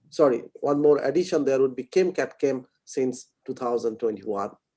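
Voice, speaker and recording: A man with an Indian accent talks at a moderate pace in a dark, mellow tone with lively intonation. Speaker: session chair introducing speaker. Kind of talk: speaker introduction. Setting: online lecture.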